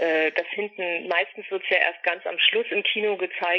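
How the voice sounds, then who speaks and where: A man speaks in a high pitch with monotone, flat intonation at a moderate pace. There is noticeable background noise. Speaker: actress and voice actress. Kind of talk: interview. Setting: phone call.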